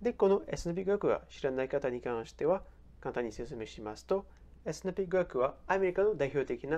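At a moderate pace, a man speaks with lively intonation and a dark, mellow tone. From France. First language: French (speaking Japanese). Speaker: personal finance YouTuber. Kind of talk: explainer video.

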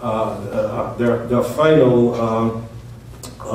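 Strong room echo and light background noise surround a man as he speaks. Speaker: pastor. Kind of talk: sermon. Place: church. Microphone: camera far.

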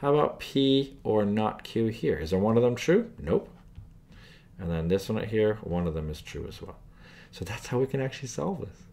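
Very wide pitch swings run through this man's dark, mellow voice. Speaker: math tutor. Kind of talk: tutorial.

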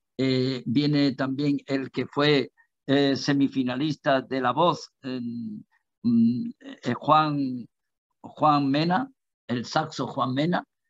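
A man's fairly high voice at a very slow pace, with fairly even intonation, a dry sound with no echo and a quiet background. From Andalusia, Spain. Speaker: musician; interview guest. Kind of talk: interview. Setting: live TV broadcast. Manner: halting, many repetitions. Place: home room. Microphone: video call.

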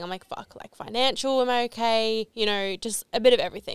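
Against a quiet background, a woman talks at a fairly quick pace with ordinary pitch variation, in a dry sound with no echo. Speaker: podcast co-host. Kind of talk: casual podcast chat. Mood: excited, laughing, animated. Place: studio. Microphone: studio mic.

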